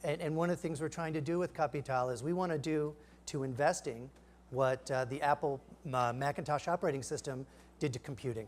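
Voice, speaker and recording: A man at a fairly high pitch, with ordinary pitch variation. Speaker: startup founder giving a product demo; presenter. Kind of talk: live product demo. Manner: halting, many fillers. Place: stage.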